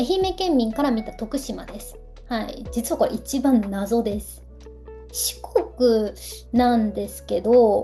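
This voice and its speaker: With music playing in the background, a woman is talking. Her pace is very slow. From Ehime, Shikoku, Japan. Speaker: Japanese language teacher and culture vlogger. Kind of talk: casual talk to camera.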